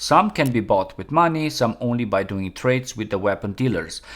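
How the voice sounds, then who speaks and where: Very wide pitch swings mark a man's medium-pitched voice with a non-native accent at a moderate pace, on a very clean recording with a silent background. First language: not English. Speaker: gaming YouTuber. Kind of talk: tutorial.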